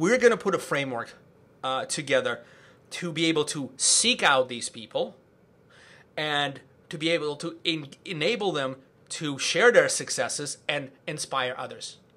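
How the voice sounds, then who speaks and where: A man with a fairly high, bright, sharp voice sounds animated, with lively intonation at a moderate pace. The recording is very clean, with a silent background. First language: not English. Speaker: podcast host and event organizer. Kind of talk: casual podcast conversation.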